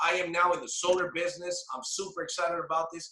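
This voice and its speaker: A man speaks in a raised, projected voice. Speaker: sales team trainer. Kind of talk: sales training call. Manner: animated.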